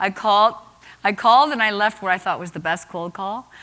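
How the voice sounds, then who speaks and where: Bright, sharp, animated voice of a woman at medium pitch, delivered at a fairly quick pace. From Nova Scotia, Canada. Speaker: entrepreneur and keynote speaker. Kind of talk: keynote speech.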